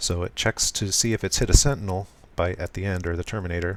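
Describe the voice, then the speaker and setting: A man with a very deep, low voice talks at a fairly quick pace. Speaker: programmer live streaming. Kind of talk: live coding tutorial. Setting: live stream. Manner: soft, smooth delivery; hesitant, many fillers.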